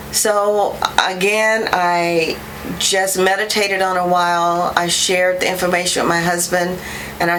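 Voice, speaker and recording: A woman with a fairly low-pitched voice speaks in a monotone, flat intonation, with audible room echo and noticeable background noise. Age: 60s. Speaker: patient giving testimonial. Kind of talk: testimony. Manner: hesitant with many fillers.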